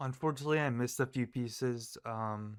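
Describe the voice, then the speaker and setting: On a very clean recording with a silent background, a man speaks at a medium pitch and moderate pace. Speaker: gaming youtuber. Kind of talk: gameplay commentary. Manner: halting, many fillers; casual, unscripted.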